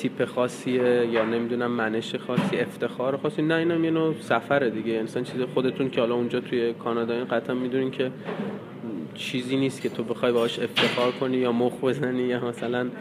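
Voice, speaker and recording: Background noise is noticeable as a man talks at a very fast pace. His pitch is medium, his intonation fairly even and his loudness very even. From Iran, North Khorasan (Bojnurd). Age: 20s. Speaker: news photographer. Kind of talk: interview.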